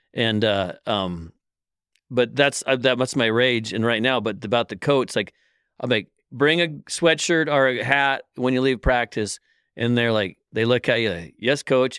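In an American accent, a man with a normal speaking voice talks fairly slowly at medium pitch with ordinary pitch variation. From Oregon, US Pacific Northwest. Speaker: local sports coach. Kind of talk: casual chat.

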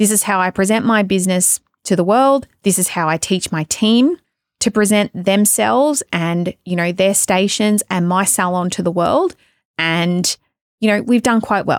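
A woman with an Australian accent talks at a moderate pace at medium pitch with ordinary variation, in a dry, close sound with no echo on a very clean recording with a silent background. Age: 30s. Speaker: podcast host and salon business coach. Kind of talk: solo podcast monologue. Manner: casual, chatty.

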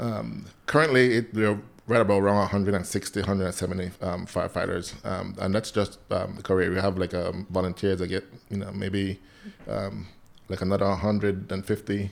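With a Belizean accent, a man speaks at a fairly quick pace in a fairly low pitch, with vocal fry and fairly even intonation. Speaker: firefighter and nonprofit founder. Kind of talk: casual interview.

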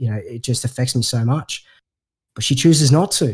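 A man speaks with a somewhat breathy voice on a very clean recording with a silent background. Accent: Australian. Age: 30s. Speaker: podcast host. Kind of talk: casual chat.

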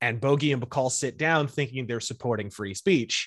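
In an ordinary speaking voice, a man with an American accent talks fairly quickly at a medium pitch with lively intonation over a quiet background. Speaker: political and pop culture commentator. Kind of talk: casual interview chat.

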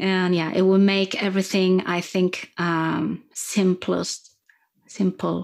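In a French accent, a woman of medium pitch speaks at a very slow pace with monotone, flat intonation on a very clean recording with a silent background. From France. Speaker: singing coach. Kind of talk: interview. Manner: halting.

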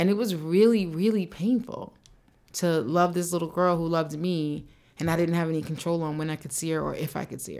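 A woman talks in a normal speaking voice at a fairly quick pace. Her fairly low pitch moves with ordinary pitch variation. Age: 40s. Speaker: podcast co-host and author. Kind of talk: casual chat. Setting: studio.

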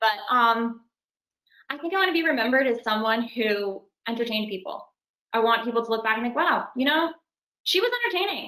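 A woman's fairly high, bright, sharp voice in a Californian accent, at a fairly quick pace with lively intonation and long, frequent pauses. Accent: Californian American English. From Los Angeles. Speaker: actress. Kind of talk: casual interview.

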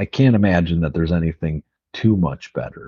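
A man speaks at a moderate pace with an American accent. His pitch is very deep and low. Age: 30s. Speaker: podcast co-host. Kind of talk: casual chat.

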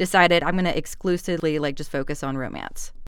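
A woman with an American accent in a very clean recording over a silent background. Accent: Southern US, toned down. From Georgia, US South. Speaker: audiobook narrator. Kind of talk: casual interview chat.

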